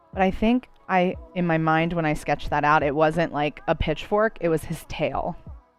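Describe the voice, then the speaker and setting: In an American accent, a woman speaks at a moderate pace and fairly low pitch with hardly any pauses. Her pitch varies in an ordinary way, and background noise is noticeable. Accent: New Jersey accent, can be heavy. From New Jersey. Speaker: artist livestreamer. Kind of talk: casual chat while drawing on a livestream. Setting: live stream.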